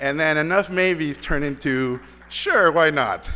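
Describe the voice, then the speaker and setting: A man's fairly high, bright, sharp voice with lively intonation and a Mexican accent. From Mexico (Mexico City, Tijuana). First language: Spanish. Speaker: animation director. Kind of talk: award acceptance speech. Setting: stage with audience. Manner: halting, many repeated words.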